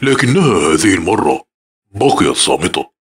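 A man delivers his lines fairly slowly in a put-on character voice. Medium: read story. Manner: calm, measured.

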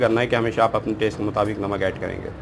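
A man speaks while noticeable background noise runs behind him. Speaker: food vlogger. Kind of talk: tutorial. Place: street.

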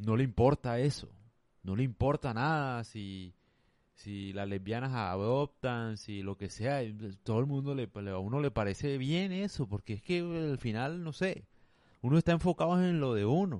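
A man with an unremarkable speaking voice talks at a medium pitch and a fairly slow pace. His intonation is lively, and the background is quiet. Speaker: podcaster. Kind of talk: monologue. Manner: casual.

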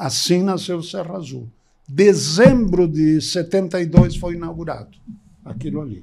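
A fairly slow pace against a quiet background. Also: man. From Gramado, Rio Grande do Sul, Brazil; Rio Grande do Sul, Brazil. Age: 80s. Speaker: podcast guest. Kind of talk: interview answer, storytelling. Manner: conversational, reminiscing, informal. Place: studio. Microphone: studio mic.

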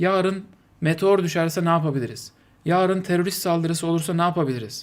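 Speech from a man, very cleanly recorded against a silent background. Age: 40s. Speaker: streamer. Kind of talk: live stream commentary. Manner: animated.

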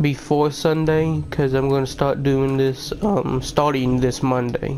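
The voice keeps a very even loudness against noticeable background noise. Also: man, fairly high pitch for a man. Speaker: gaming YouTuber. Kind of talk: casual channel update to viewers.

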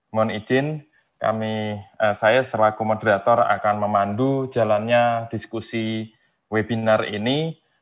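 Against a quiet background, a man with a medium pitch speaks fairly slowly in a monotone, flat intonation. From Indonesia. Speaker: webinar moderator. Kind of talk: moderating a webinar; formal moderation and summary. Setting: video call. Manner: halting, many fillers. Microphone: earbuds.

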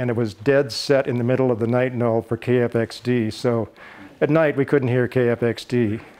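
Speaking at a moderate pace, a man with an American accent has a dark, mellow tone, a medium pitch and monotone, flat intonation. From Idaho. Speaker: retired broadcaster. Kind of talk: casual talk to camera. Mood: warm, reminiscing. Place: home room.

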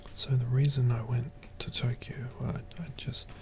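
A man speaks in a relaxed tone over noticeable background noise. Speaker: ASMR creator. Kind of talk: whispered ASMR monologue. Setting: home recording with popcorn eating. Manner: soft whisper, slow and halting; relaxed, hesitant with frequent fillers.

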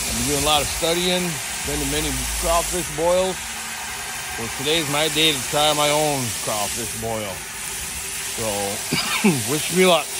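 Fairly slow speech with long, frequent pauses, a dry sound with no echo and loud background noise. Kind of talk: casual vlog chat. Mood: upbeat, relaxed. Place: garden. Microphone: phone near.

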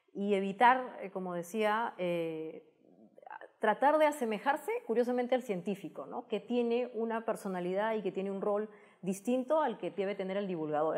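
A woman's medium-pitched voice at a moderate pace, with ordinary pitch variation against a quiet background. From Peru. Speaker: technology communicator and TV host; guest. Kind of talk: interview. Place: studio. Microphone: lapel.

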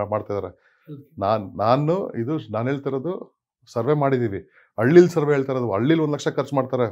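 The background stays quiet. A man's pitch varies in an ordinary way. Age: 40s. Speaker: organic farming leader, farmer; interview guest. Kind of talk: interview. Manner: frequent Kannada-English code-switching. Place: home room. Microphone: lapel.

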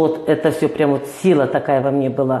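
A woman speaks at a moderate pace, with audible room echo around her voice. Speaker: interview guest. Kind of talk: interview answer. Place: studio. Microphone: lapel.

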